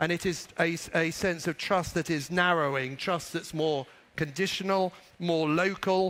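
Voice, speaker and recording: This man speaks with a British accent, a high pitch and fairly even intonation at very even loudness. The recording is very clean with a silent background. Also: fairly slow pace. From Britain. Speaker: business executive. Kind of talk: conference speech.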